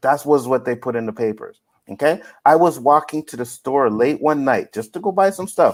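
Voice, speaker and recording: The recording is very clean, with a silent background. A man speaks with a fairly high pitch, an animated tone and lively intonation. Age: 30s. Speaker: podcast host. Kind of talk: casual chat.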